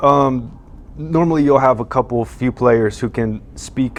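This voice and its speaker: A man with an American accent has an unremarkable speaking voice. He talks at a moderate pace and a medium pitch. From US, Twin Falls, Idaho. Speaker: professional basketball player. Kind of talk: interview.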